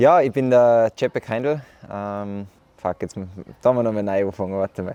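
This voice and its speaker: With an Austrian accent, a man talks at a moderate pace in a dark, mellow tone, his fairly low pitch showing ordinary variation in a dry, close sound with no echo. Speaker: professional triathlete. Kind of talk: documentary interview.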